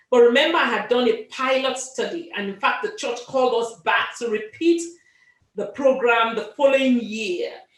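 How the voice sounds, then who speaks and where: With lively intonation and a high pitch, a woman talks at a moderate pace amid audible room echo. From Africa. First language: not English, an African language. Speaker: author and medical doctor. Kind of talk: interview. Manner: hesitant, with many fillers and repeats.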